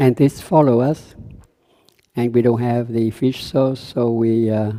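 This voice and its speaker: The voice is a man's with a Vietnamese accent and a medium pitch. He speaks at a fairly slow pace with a dark, mellow tone and fairly even intonation. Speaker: Buddhist meditation teacher. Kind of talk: dharma talk. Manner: halting.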